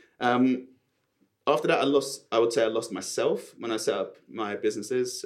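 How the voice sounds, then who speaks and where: With a south London accent, a man speaks at a moderate pace. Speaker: property developer and estate agent. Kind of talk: casual interview chat. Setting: studio.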